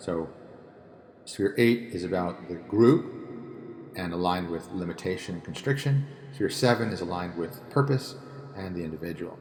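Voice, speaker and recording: With lively intonation and big swings in loudness, a man with a very deep, low pitch speaks with long, frequent pauses. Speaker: tarot and spirituality teacher. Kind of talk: solo talk on tarot reading. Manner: fast; hesitant with fillers.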